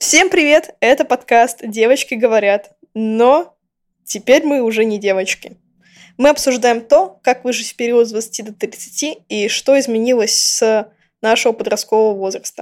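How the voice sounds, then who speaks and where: Over a silent background on a very clean recording, a woman with a fairly high pitch uses an ordinary speaking voice and ordinary pitch variation. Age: 20s. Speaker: podcast co-host, game designer. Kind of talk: casual chat.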